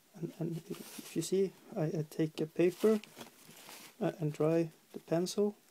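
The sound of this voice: A dark, mellow tone carries a slightly husky edge, delivered in a Norwegian accent. The pace is fairly slow and the intonation fairly even.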